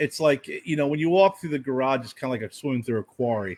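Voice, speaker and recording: An unremarkable speaking voice belongs to a man with a fairly high pitch and ordinary pitch variation. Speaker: podcast co-host. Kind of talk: casual chat. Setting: home garage studio.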